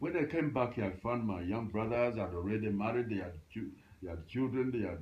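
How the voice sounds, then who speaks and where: A somewhat breathy voice with lively intonation moves at a fairly quick pace amid audible room echo. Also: man, medium pitch for a man. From Uganda. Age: 80s+. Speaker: retired librarian. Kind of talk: interview. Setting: at home. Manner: halting.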